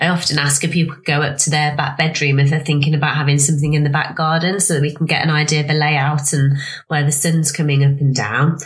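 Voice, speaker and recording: A woman's very deep, low voice at a very fast pace, monotone and flat, with very even loudness, hardly any pauses and noticeable background noise. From Leicestershire, England. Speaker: pond design consultant. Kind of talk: casual interview chat.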